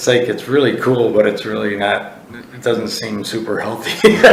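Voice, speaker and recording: Amid noticeable background noise and audible room echo, a man's words come at a fairly slow pace. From US Midwest, Chicago. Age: 60s. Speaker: college football head coach. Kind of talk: casual interview chat.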